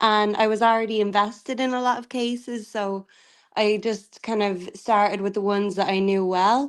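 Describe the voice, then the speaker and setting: Against a quiet background, a woman with an Irish accent talks in a monotone, flat intonation. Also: fairly high pitch for a woman, moderate pace. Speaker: tarot reader. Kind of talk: casual livestream chat. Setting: video call livestream.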